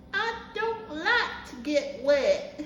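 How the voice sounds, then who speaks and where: A woman's put-on character voice, extremely high in pitch with very wide pitch swings and a slight echo. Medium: read story.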